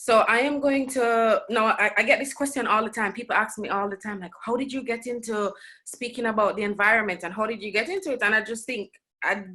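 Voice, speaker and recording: A woman's fairly high, bright, sharp voice at a fairly quick pace, with ordinary pitch variation and a quiet background. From Jamaica. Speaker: writer and researcher. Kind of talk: lecture.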